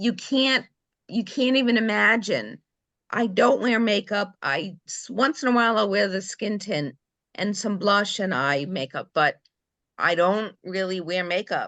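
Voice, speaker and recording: A woman speaks at a fairly slow pace with a medium pitch, lively intonation and vocal fry. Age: 60s. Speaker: team member at sales meeting. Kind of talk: testimony.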